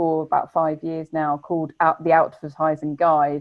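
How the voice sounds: A woman's fairly low voice with an Essex accent. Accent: Essex, glottal stops.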